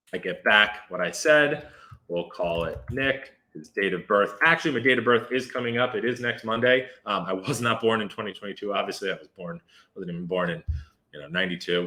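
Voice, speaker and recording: A man speaks with lively intonation. His pitch sits at a medium level. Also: fairly quick pace. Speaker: software developer streamer. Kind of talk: live coding demo stream. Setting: live stream from apartment. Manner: fast.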